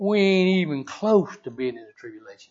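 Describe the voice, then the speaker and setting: With a Southern US accent, a man talks at a moderate pace. His intonation is lively. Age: 60s. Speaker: church elder. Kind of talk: sermon. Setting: church.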